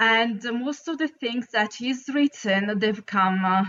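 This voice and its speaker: In an Italian accent, the speaker talks at a very slow pace with ordinary pitch variation. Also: woman. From Italy. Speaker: caller. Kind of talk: casual chat. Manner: halting.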